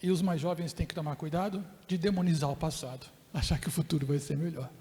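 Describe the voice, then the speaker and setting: A man with a fairly high pitch talks at a very fast pace. His tone is dark and mellow, and his intonation fairly even. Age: 60s. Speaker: professor and keynote speaker. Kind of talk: lecture.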